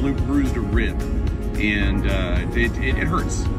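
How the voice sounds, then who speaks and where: A man speaks at a fairly slow pace over loud background music. The sound is dry with no echo. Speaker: mountain bike vlogger. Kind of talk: casual vlog chat. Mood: rueful, a bit sore. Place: car. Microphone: phone near.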